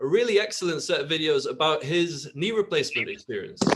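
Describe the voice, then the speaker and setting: Speaking with a British accent, a man has a high pitch and lively intonation. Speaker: health app podcast host. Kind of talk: interview. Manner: halting.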